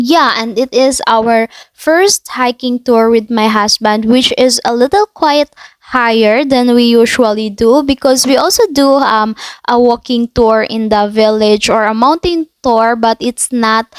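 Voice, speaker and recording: Delivered at a fairly slow pace with a Filipino accent, the voice keeps a very even loudness. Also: woman, high pitch for a woman, ordinary pitch variation, dry, close sound with no echo. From Philippines. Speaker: travel vlogger. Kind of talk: impromptu voiceover narration. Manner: halting, many fillers.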